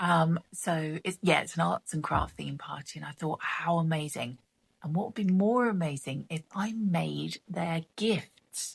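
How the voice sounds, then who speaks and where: A woman speaks quietly at a fairly slow pace in a southern English accent, her fairly low pitch carrying ordinary variation and a somewhat breathy edge, all in a dry, close sound with no echo. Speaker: craft vlogger. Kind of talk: casual chat.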